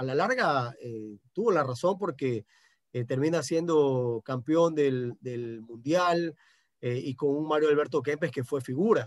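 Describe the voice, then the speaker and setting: At a very slow pace, a man speaks with a fairly high pitch. His pitch varies in an ordinary way. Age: 40s. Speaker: sports journalist. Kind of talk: radio interview. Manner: halting, many repetitions and fillers.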